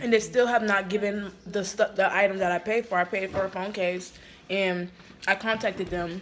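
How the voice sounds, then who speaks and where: At a moderate pace, a woman speaks in a monotone, flat intonation over light background noise. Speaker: vlogger. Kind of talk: casual vlog chat. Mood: annoyed, disappointed. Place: home room. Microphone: phone near.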